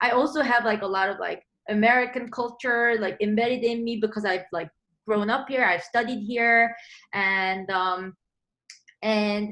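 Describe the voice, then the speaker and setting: Her tone is bright and sharp, with ordinary pitch variation. The woman's pitch is fairly high, and she talks at a moderate pace. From South Korea. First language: Korean. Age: 20s. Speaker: composer. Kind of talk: interview. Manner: casual, many fillers.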